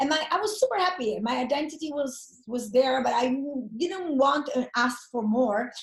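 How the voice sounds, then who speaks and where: A woman's high voice with an Italian accent, lively intonation and a moderate pace. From Italy. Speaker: network marketer. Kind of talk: interview. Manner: animated.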